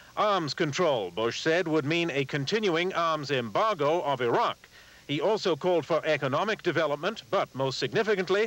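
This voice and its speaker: With a plain, everyday voice, a man of fairly high pitch speaks at a moderate pace, his intonation lively and his loudness very even. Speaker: TV news anchor. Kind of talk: TV news report.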